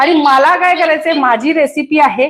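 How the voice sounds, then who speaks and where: A woman with a Goan accent speaks in an energetic tone at a high pitch. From Kolhapur, Maharashtra, India. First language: Konkani (speaking Marathi). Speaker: cooking show host. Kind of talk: live stream chat with viewers.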